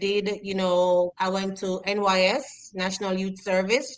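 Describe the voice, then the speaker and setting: The speaker talks at a fairly slow pace in a Jamaican accent. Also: woman. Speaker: educator. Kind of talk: interview.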